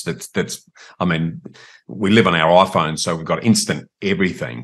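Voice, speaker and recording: With an Australian accent, a man talks at a moderate pace in a very deep, low pitch with ordinary pitch variation. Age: older. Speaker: property podcast host interviewing. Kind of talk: interview.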